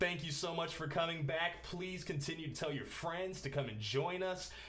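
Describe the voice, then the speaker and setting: A man speaks in an upbeat tone at a high pitch. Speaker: talk show host. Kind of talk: casual talk to camera.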